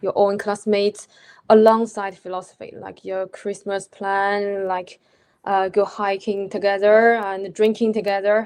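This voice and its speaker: Over a quiet background, a woman with a Chinese accent speaks fairly slowly at a medium pitch, her intonation monotone and flat. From China. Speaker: postgraduate philosophy student. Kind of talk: panel discussion. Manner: halting.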